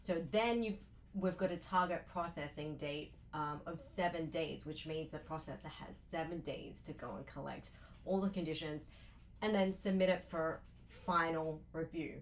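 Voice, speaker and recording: A woman with an Australian accent, fairly low in pitch, with vocal fry, fairly even intonation, a moderate pace and big swings in loudness. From Australia, Sydney. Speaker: loan officer. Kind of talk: interview.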